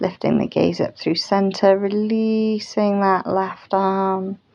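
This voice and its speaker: This woman is soft-spoken. She talks at a very slow pace. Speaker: yoga teacher. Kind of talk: guided yoga class instruction. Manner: soft-spoken, slow, calming.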